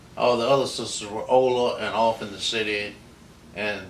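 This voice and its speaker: Audible room echo surrounds a man speaking at a medium pitch with an American accent. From US South, southern West Virginia (Mount Hope). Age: 80s+. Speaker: interviewee recounting his life. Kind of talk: oral history interview. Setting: at home. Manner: unhurried, storytelling.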